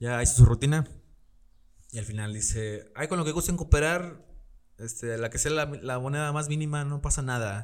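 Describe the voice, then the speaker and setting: A man talks with an ordinary speaking voice, ordinary pitch variation and a moderate pace, captured on a very clean recording against a silent background. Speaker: podcast host. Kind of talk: casual chat. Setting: studio with camera. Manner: casual, laughing often.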